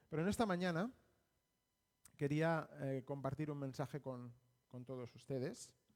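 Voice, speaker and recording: A man speaks with a Spanish accent at a fairly slow pace, his pitch fairly high for a man. Long pauses come often. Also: ordinary pitch variation. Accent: Spanish (Spain). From Spain, Barcelona. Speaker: missionary preacher. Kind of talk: sermon. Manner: halting.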